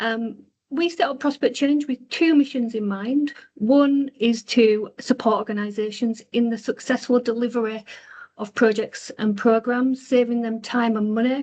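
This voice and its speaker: Speaking at a moderate pace with a Yorkshire accent, a woman uses a high pitch and fairly even intonation. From Yorkshire, Bradford. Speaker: consultancy co-founder, webinar host. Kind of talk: webinar presentation. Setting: online webinar. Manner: hesitant, many fillers.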